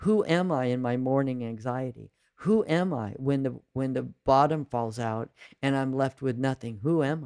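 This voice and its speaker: A man speaks in an ordinary speaking voice at a medium pitch and moderate pace, with ordinary pitch variation. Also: dry, close sound with no echo. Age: 60s. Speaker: spiritual coach and mindfulness teacher. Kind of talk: casual chat.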